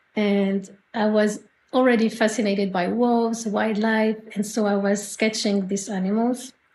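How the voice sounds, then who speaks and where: A woman speaks with a French accent at a medium pitch. Her pace is fairly slow and her intonation is monotone and flat. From France, Normandy. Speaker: artist. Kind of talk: interview. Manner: halting.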